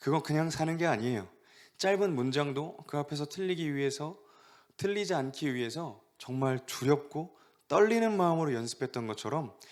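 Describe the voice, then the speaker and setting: At a moderate pace, a man speaks with lively intonation and a fairly high pitch. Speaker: youth pastor. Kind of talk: sermon. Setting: online church service.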